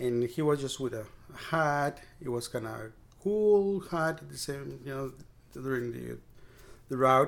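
With a Spanish accent, the speaker moves at a fairly slow pace, taking long, frequent pauses, with ordinary pitch variation and big swings in loudness. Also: man, medium pitch for a man. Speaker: bike mechanic and cycling advocate. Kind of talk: casual interview chat.

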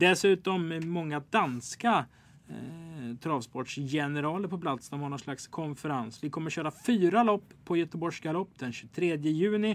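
In a very clean recording with a silent background, a man with a normal speaking voice talks at a fairly slow pace, his pitch fairly high with ordinary pitch variation. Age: 20s. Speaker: podcast host. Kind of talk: casual chat.

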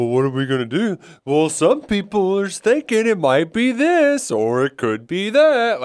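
A man's put-on character voice, high-pitched with very wide pitch swings, at a moderate pace. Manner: big exaggerated, dramatic.

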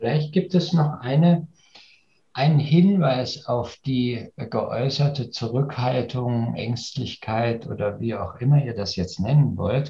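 With a dark, mellow tone, a man speaks at a medium pitch and a very slow pace. His voice is somewhat breathy. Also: ordinary pitch variation. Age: 60s. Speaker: leadership coach. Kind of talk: casual discussion. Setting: video call.

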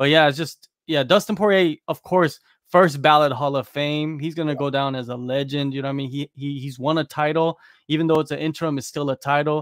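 Speaking at a fairly quick pace, a man uses a fairly high pitch. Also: fairly even intonation. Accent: American. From United States. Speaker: MMA journalist. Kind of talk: casual chat.

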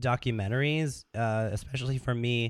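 With an ordinary speaking voice, a man talks at a fairly slow pace, his medium pitch held in fairly even intonation. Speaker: podcast guest, musician and filmmaker; documentary maker.

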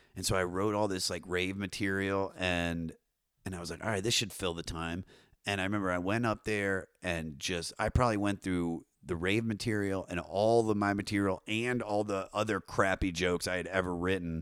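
This man has a very deep, low pitch and an American accent. His intonation stays fairly even at a moderate pace, in a very clean recording with a silent background. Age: 30s. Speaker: comedian and podcaster. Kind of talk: casual chat.

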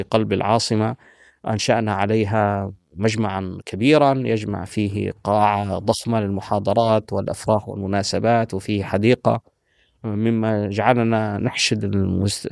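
In a plain, everyday voice, a man speaks fairly slowly at a fairly low pitch, on a very clean recording with a silent background. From Palestinian, raised in Saudi Arabia (Medina) and Syria. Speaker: linguist and historian. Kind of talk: interview conversation. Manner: formal.

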